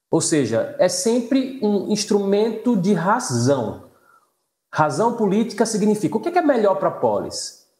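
A man speaks at a fairly slow pace in a high voice with a dark, mellow tone, his loudness very even, over a quiet background with audible room echo. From Northeast Brazil. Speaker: law professor. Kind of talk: casual chat. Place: home room. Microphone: video call.

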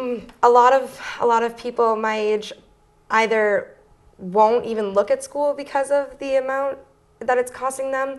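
A woman's high voice at a fairly slow pace, with fairly even intonation. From Windham, Maine (Portland area); Maine. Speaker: student peace activist; guest. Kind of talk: interview. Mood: earnest, concerned. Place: studio. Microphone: lapel.

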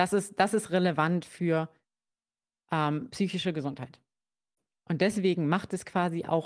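A woman at a fairly slow pace with ordinary pitch variation, on a very clean recording with a silent background. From Germany, Kassel (Hesse). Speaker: psychologist. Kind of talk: interview on a livestream. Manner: hesitant, many fillers.

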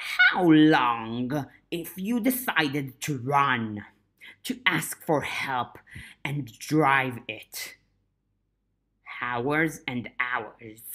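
A put-on character voice at a low-to-middle pitch, very slow, with long, frequent pauses. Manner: menacing, taunting.

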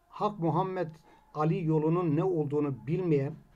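A man talks in a plain, everyday voice, pitched fairly high, at a moderate pace. His intonation stays fairly even. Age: 60s. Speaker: Alevi congregation member; presenter. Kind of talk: commentary summary. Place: home room. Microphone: webcam.

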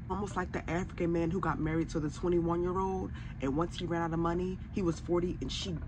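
A woman's fairly low voice at a very fast pace, with noticeable background noise. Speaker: commentary vlogger. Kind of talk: commentary. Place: home room.

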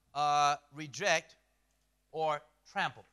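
In a quiet setting, a man speaks with an animated, bright, sharp tone. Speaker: preacher. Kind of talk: sermon. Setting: church, consecutively translated into Romanian. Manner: animated, emphatic preacher in full flow, rhetorical questions; short punchy phrases, pausing for interpreter. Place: church.

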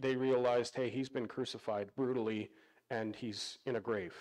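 A man's speech, moderate in pace and fairly even in intonation, comes over a quiet background. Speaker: pastor. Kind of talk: sermon. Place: church.

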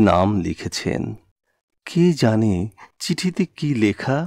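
Over a quiet background, a man's dark, mellow voice of medium pitch moves through very wide pitch swings, with a dry, close sound and no echo. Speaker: poetry reciter. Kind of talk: poetry reading.

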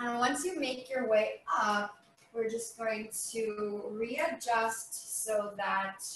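A woman at a very slow pace, fairly high in pitch, with ordinary pitch variation and audible room echo. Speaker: yoga instructor. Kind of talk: guided chair yoga class with spoken cues. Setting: video. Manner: calm, soothing, slow and gentle; instructional, leads with clear step-by-step cues. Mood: calm, gentle. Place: home room. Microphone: webcam.

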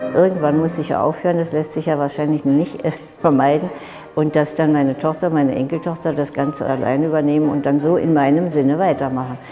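Over clear music in the background, a woman talks at a fairly quick pace in a very deep, low voice with fairly even intonation. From Berlin, Germany. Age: 80s+. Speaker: ballet teacher. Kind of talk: TV interview answer. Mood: warm, sometimes smiling. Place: gym. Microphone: lapel.

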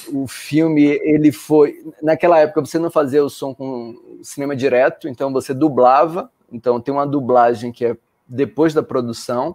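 A man talks at a moderate pace with fairly even intonation and a fairly high pitch, in a plain, everyday voice. The background is quiet. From Brazil, Salvador (Bahia). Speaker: professor. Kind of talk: casual discussion. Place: home room.

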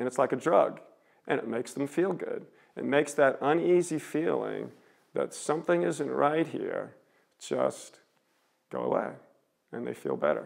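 A man at a moderate pace, with long, frequent pauses, over a quiet background. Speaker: street preacher giving a seminary lecture. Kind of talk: public lecture to an audience. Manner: conversational, stream-of-consciousness. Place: hall.

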